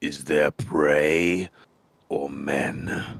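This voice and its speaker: Putting on a character voice, a man growls in a guttural, raspy, very deep and low register with fairly even intonation. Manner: gruff, growly.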